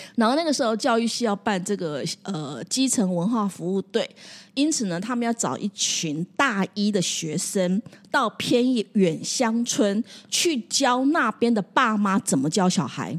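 Very cleanly recorded over a silent background, a woman speaks at a fairly high pitch with very wide pitch swings, the sound dry and close with no echo. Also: fairly slow pace. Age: 60s. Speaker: counseling psychologist. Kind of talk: casual chat.

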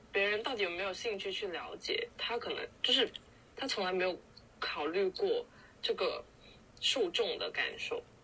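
A woman speaks at a moderate pace. She leaves long, frequent pauses. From Guangdong (Foshan). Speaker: podcast co-host. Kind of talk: casual chat.

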